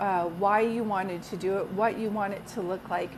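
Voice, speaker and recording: A woman speaks at a moderate speed, her pitch varying in an ordinary way, with noticeable background noise behind her. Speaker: psychic medium. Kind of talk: live stream chat with viewers. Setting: live video stream.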